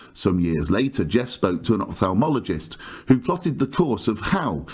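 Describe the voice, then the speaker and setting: The speaker has a southern English accent and vocal fry. The pace is moderate, with very wide pitch swings. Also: man. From southern England. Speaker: podcast host. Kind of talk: scripted podcast intro.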